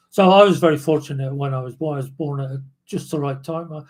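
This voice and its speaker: A man's somewhat breathy, fairly high-pitched voice at a moderate pace, with fairly even intonation. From southern England, Dorset. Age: 70s. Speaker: former backpacker and adventurer. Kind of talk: casual interview. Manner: halting.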